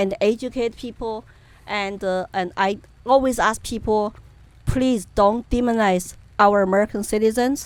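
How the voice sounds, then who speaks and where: A woman with a Chinese accent speaks at a moderate pace in a fairly high pitch. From China, Chengdu, Sichuan. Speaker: political activist. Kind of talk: interview. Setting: outdoor event. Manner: animated.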